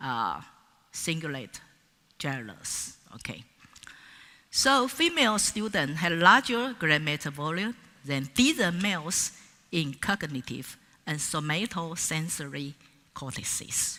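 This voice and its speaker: At a very slow pace with long, frequent pauses, a woman speaks in a fairly low pitch with a bright, sharp tone and very wide pitch swings. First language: Mandarin Chinese. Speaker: professor. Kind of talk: conference keynote lecture. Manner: halting, with many fillers.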